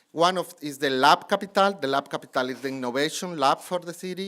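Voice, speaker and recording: A man speaks with a Colombian accent in a very clean recording with a silent background. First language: Spanish. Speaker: city anti-corruption official. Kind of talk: conference panel presentation. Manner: halting.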